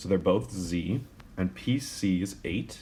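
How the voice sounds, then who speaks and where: A man's very deep, low voice with vocal fry, at a very slow pace. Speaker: math teacher. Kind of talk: tutorial. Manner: casual, with fillers.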